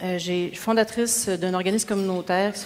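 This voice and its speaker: A woman's medium-pitched voice at a moderate pace, over noticeable background noise. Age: 40s. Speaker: mayoral candidate, social worker. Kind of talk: debate opening statement. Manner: casual, hesitant fillers.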